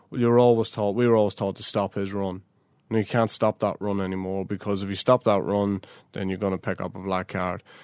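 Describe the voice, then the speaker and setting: On a very clean recording with a silent background, a man speaks with a Northern Irish accent. The sound is dry and close with no echo, and his intonation is flat and monotone. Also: fairly low pitch for a man, fairly quick pace. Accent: South Armagh Northern Irish. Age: young. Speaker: Gaelic football manager. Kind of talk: interview.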